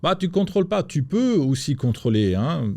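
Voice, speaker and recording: In a very clean recording over a silent background, a man speaks at a very slow pace with a dark, mellow tone. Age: 60s. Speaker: entrepreneur. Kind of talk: interview. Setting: studio. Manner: halting.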